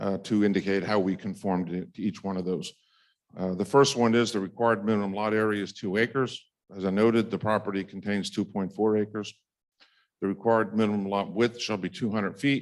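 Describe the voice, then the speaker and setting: A man speaks at a fairly quick pace, his fairly low voice keeping a fairly even intonation. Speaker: applicant's attorney or planner at township board hearing. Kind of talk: formal testimony at public hearing. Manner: fast; halting, many fillers.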